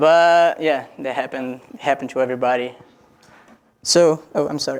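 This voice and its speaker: Speaking with a Brazilian Portuguese accent, a man keeps a moderate pace, a fairly high pitch and fairly even intonation. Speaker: international student presenter. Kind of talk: student presentation. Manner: joking, informal.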